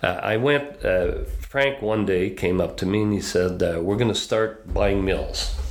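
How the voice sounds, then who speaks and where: A man with a Quebec accent at a fairly slow pace, hardly any pauses, and very even loudness, amid audible room echo and noticeable background noise. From northwestern Quebec, then southern Ontario from 13. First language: French. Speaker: business consultant. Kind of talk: casual interview.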